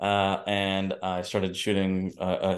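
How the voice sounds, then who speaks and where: A man with fairly low pitch speaks at a fairly slow pace over a quiet background. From US Northeast, New York and New Jersey. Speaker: entrepreneur, yoga teacher and filmmaker. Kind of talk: interview, personal story.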